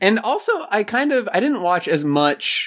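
A man uses a normal speaking voice and lively intonation, talking at a fairly slow pace. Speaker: K-pop fan guest. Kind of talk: casual chat.

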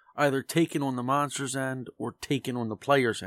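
Recorded very cleanly against a silent background, with a dry, close sound and no echo, a man speaks at a medium pitch with fairly even intonation in an ordinary speaking voice. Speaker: dungeon master. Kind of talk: casual chat.

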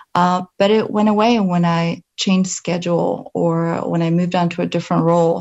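With a slight Polish accent, a woman talks at a moderate pace in a fairly low pitch and fairly even intonation. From Poland. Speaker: pharmaceutical company representative. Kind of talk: presentation. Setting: video call.

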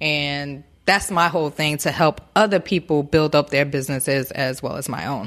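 A woman with an American accent speaks at a very deep, low pitch and moderate pace with hardly any pauses. Her pitch varies in an ordinary way on a very clean recording with a silent background. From Newark, New Jersey. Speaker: massage therapist. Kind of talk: interview. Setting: her massage shop.

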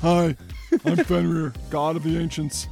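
Over clear background music, a man puts on a character voice, pitched fairly high and delivered at a moderate pace. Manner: bumbling, comic character voice.

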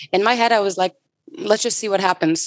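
A woman with a normal speaking voice, medium in pitch, uses fairly even intonation in a dry, close sound with no echo. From US West Coast, San Francisco Bay Area. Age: 20s. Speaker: bar industry brand ambassador. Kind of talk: casual interview.

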